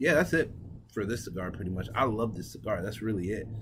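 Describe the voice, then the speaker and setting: A man speaks in a somewhat breathy voice. Audible room echo surrounds it. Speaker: cigar review vlogger. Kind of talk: casual vlog talk to camera.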